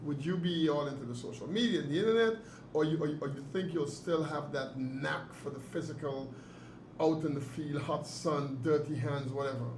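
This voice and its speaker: Noticeable background noise sits behind a man speaking at a fairly quick pace. His pitch is fairly high, with ordinary pitch variation. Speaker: author and interviewer. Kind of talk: interview questions.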